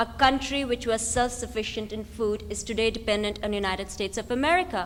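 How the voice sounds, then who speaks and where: A woman speaks at a fairly quick pace, with audible echo from the room. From India. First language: not English (Indian language). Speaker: activist, think tank director. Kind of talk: lecture. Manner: animated.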